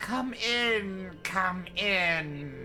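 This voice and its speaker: Over clear background noise, a man uses a put-on character voice pitched high. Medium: actual play. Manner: sly, purring.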